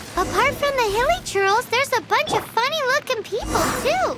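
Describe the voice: Over loud background noise, a cartoonish character voice speaks at a moderate pace, squeaky and extremely high in pitch.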